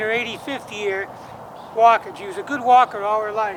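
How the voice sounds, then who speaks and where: In an American accent, a man speaks in a raised, projected voice at a fairly quick pace. Noticeable background noise is present. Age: 60s. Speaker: musician. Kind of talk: personal vlog monologue. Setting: outdoors at cemetery grave. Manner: halting.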